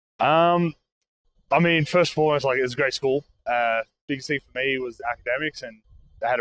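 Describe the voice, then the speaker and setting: Talking very fast with fairly even intonation, a man is heard in a dry, close recording with no echo. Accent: Australian. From Australia. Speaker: college football player. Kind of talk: casual interview. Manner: halting, many fillers.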